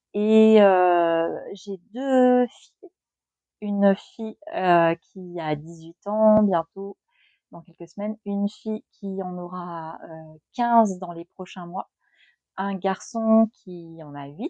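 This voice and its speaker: In a dark, mellow tone, a woman speaks very slowly at a medium pitch with ordinary pitch variation and big swings in loudness, the sound dry and close with no echo over a quiet background. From Grand Est, France. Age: 40s. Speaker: YouTuber, author on trauma and anxiety. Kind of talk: casual personal vlog talk. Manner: hesitant, many fillers.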